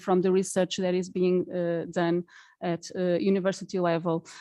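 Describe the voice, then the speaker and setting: Against a quiet background, a woman with a Portuguese accent talks at a moderate pace. Her medium-pitched voice has a dark, mellow tone in a dry, close sound with no echo. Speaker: charity representative. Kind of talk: conference speech. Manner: halting.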